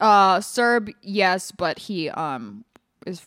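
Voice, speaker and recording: The speech comes at a very slow pace with ordinary pitch variation, in a very clean recording with a silent background and a dry, close sound with no echo. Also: woman. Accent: New York. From Los Angeles. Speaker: comedian. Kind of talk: casual chat.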